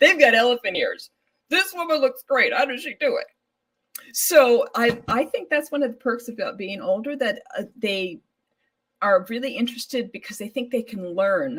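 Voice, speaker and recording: Speaking at a moderate pace, a woman uses a high pitch and lively intonation in an American accent. Her loudness swings widely. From California. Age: 60s. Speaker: fashion model. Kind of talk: interview.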